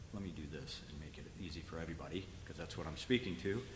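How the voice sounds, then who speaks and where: Through audible room echo, a man with vocal fry speaks at a fairly quick pace with ordinary pitch variation. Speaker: school facilities presenter. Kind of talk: board meeting presentation. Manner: fast.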